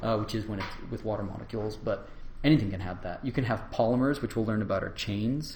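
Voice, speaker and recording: The voice is somewhat breathy and moves at a fairly quick pace. Audible room echo surrounds it. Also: man. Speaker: university lecturer. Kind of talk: lecture.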